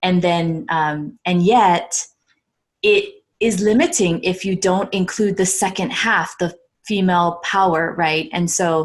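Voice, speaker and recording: Speaking very slowly in a General American accent, a woman keeps a medium pitch, ordinary pitch variation and very even loudness. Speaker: podcast panel guest. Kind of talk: panel discussion.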